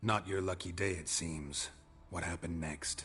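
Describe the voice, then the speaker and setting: A growling, put-on character voice delivers lines in a deadpan tone at a moderate pace. Music is clearly heard in the background. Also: man, very deep, low pitch for a man. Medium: video game. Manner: terse, deadpan.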